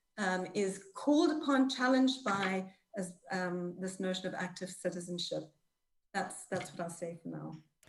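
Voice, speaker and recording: Somewhat breathy woman at medium pitch, lively intonation, moderate pace. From Zimbabwe. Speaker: panelist. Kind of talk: panel discussion. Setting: video call. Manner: halting.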